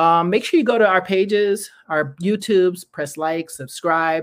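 In a very clean recording with a silent background, a woman talks at a moderate pace with a medium pitch and ordinary pitch variation. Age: 50s. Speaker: online talk show host. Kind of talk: casual livestream chat. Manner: animated.

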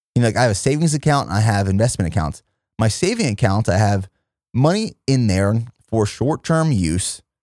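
Recorded very cleanly against a silent background, a man with an ordinary speaking voice at medium pitch talks at a fairly quick pace with lively intonation and very even loudness. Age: 30s. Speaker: fitness entrepreneur and podcast host. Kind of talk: solo monologue podcast.

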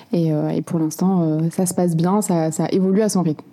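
Over noticeable background noise, a woman talks at a fairly low pitch with monotone, flat intonation. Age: 20s. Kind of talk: interview.

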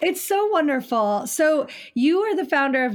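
A woman with an American accent, on a very clean recording with a silent background. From Ohio, near Cleveland. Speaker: podcast host. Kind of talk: casual interview chat.

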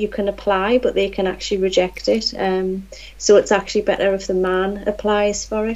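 A woman talks at a moderate pace. She speaks with a Geordie accent. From Newcastle, England. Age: 40s. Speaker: nurse. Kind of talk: casual interview.

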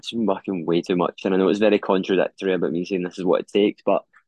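A man with a fairly low pitch speaks at a very fast pace in a monotone, flat intonation. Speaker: podcast host. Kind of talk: casual solo podcast monologue. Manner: low energy.

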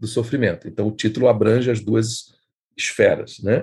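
Medium in pitch, this man's voice is somewhat breathy. He talks at a moderate pace. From Brazil. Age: 50s. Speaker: writer and editor. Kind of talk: interview.

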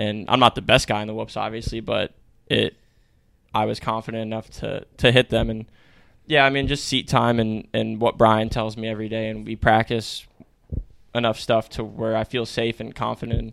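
In an American accent, a man speaks at a moderate pace and medium pitch with monotone, flat intonation. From Connecticut, US. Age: 20s. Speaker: professional motocross racer. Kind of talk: casual chat.

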